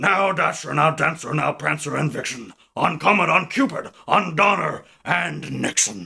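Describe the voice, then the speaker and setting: A man's cartoonish character voice, fairly high in pitch, at a moderate pace. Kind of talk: cartoon character impression. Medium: solo performance.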